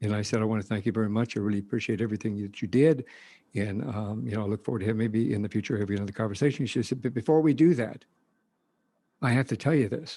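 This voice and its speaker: At a very fast pace, the speaker's tone stays dark and mellow. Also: man, fairly low pitch for a man, ordinary pitch variation, very clean recording, silent background. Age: 60s. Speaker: retired police officer and podcast host. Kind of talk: interview.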